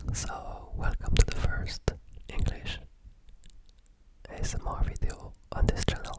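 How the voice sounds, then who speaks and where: Whispering at a fairly slow pace, a man leaves long, frequent pauses, with big swings in loudness and noticeable background noise. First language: French. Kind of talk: ASMR talk to camera, close-up binaural. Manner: whispered, soft-spoken.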